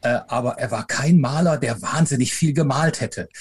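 Speech comes at a moderate pace with ordinary pitch variation. There is a somewhat breathy quality to it. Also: man. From Rhineland, Germany (Eifel/Aachen area), later Upper Franconia. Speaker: professor and author. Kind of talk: interview. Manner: hesitant fillers.

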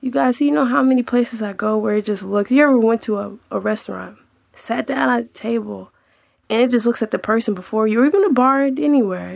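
The speaker has an unremarkable speaking voice and moves at a fairly quick pace. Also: woman. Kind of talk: casual monologue. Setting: live podcast.

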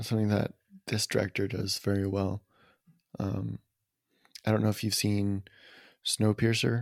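Pausing long and often, a man speaks at a moderate pace with a fairly low pitch and flat, monotone intonation in a dry, close sound with no echo. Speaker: movie podcast host. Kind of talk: casual chat. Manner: halting.

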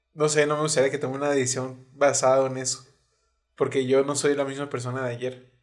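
Delivered at a fairly quick pace with a Mexican accent, the speech keeps a monotone, flat intonation. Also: man, medium pitch for a man. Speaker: podcast co-host. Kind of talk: casual chat.

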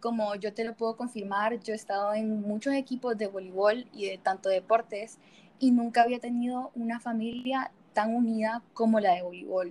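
A woman with an ordinary speaking voice, fairly high in pitch, talks at a moderate pace with fairly even intonation. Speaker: student volleyball player. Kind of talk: casual interview.

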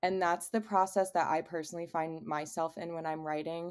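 On a very clean recording with a silent background, a woman with an American accent and a fairly low pitch speaks in a fairly even intonation. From Cleveland, Ohio. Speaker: singer-songwriter. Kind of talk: casual interview.

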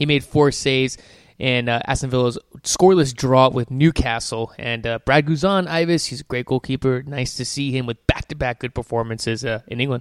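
An unremarkable speaking voice at a fairly quick pace, with a dry, close sound and no echo. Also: man, medium pitch for a man, ordinary pitch variation. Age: 20s. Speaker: soccer podcast host. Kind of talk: casual chat.

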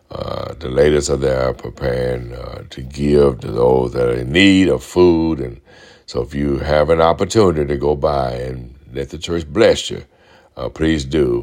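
Amid noticeable background noise, a man with a Southern US accent speaks slowly at a very deep, low pitch, his pace fairly slow. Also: ordinary pitch variation. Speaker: pastor. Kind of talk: sermon, preached radio message with call-and-response. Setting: radio broadcast.

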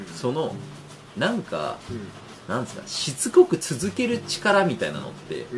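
A man speaks at a moderate pace with long, frequent pauses and big swings in loudness. Noticeable background noise can be heard. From Japan, Aichi Prefecture. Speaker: physician. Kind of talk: casual chat.

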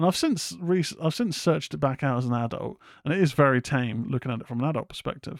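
In a very clean recording with a silent background and a dry, close sound with no echo, a man speaks at a very fast pace with lively intonation. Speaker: horror podcast host. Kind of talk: casual solo commentary. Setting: live stream.

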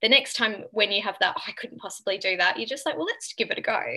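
Her bright, sharp tone and lively intonation carry as the woman speaks at a very fast pace. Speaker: nutritionist and author. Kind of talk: casual interview chat.

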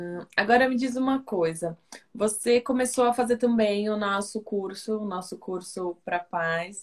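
A woman speaks with a Brazilian accent. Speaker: communications officer hosting interview. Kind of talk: interview.

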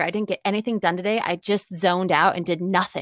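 An unremarkable speaking voice moves at a moderate pace with ordinary pitch variation. The recording is very clean with a silent background and a dry, close sound with no echo. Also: woman. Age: 30s. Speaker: happiness mentor and podcast host. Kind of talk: casual interview chat.

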